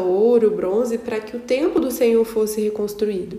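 With noticeable background noise, a woman talks at a moderate pace with ordinary pitch variation. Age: 20s. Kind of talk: Bible study monologue.

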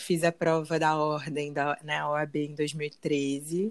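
Very slowly and in a monotone, flat way, a woman speaks with a very deep, low voice. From Rio de Janeiro, Brazil. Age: 30s. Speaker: actress. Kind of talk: casual chat.

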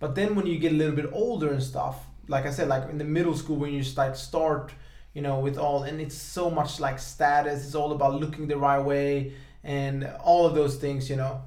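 A man speaks with fairly even intonation and a fairly high pitch over noticeable background noise. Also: moderate pace. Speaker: podcast host. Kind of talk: casual chat.

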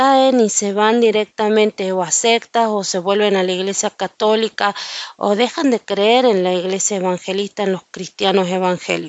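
At a fairly slow pace, a woman talks in a medium pitch with ordinary variation. She has a plain, everyday voice. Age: 40s. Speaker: Bible teacher. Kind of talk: Bible study.

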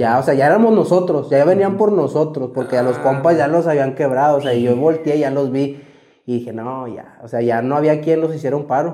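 A man with a fairly high voice and a dark, mellow tone speaks at a fairly quick pace with ordinary pitch variation, and audible room echo can be heard. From Mexico, Saltillo, Coahuila. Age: 20s. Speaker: former cartel member. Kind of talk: testimony. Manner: casual, slangy.

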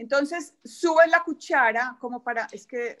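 The woman's intonation is lively. The recording is very clean, with a silent background. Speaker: etiquette and protocol expert, PR agency founder. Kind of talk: casual interview chat.

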